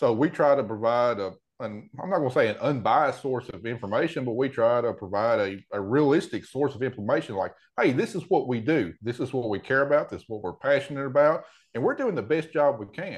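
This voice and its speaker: Against a quiet background, someone speaks at a fairly quick pace with lively intonation and a Tennessee accent. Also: man, medium pitch for a man. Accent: Southern US (Tennessee). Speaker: row crop farmer. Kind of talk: casual interview.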